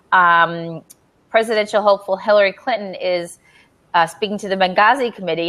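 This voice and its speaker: A woman speaks at a fairly quick pace with an American accent, her pitch medium with ordinary variation. It is an ordinary speaking voice. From United States. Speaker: livestream host. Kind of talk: casual live video chat.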